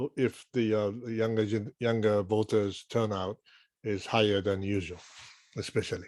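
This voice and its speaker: A man with a Japanese accent and a fairly low pitch, fairly even intonation and a moderate pace, in a dry, close sound with no echo on a very clean recording with a silent background. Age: 60s. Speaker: journalist, panelist. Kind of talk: panel discussion.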